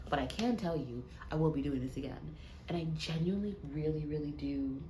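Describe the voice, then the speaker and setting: A quiet woman's voice at a moderate pace, with audible room echo. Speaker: vlogger. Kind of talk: casual vlog talk to camera. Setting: hotel room. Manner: quiet, hushed.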